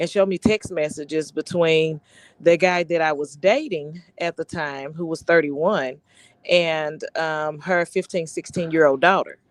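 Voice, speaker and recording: A woman's fairly low voice at a fairly slow pace with ordinary pitch variation, dry and close with no echo, over a quiet background. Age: 40s. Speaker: panel guest. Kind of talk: testimony. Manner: halting.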